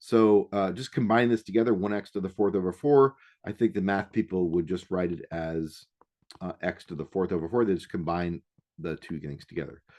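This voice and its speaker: A man with a plain, everyday voice uses lively intonation, recorded with a dry, close sound with no echo against a quiet background. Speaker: math instructor. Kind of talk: recorded lecture.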